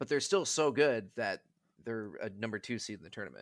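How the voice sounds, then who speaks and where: With an American accent and vocal fry, a man talks at medium pitch in a dry, close sound with no echo. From Wisconsin, Milwaukee. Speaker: hockey podcast guest. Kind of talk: casual chat.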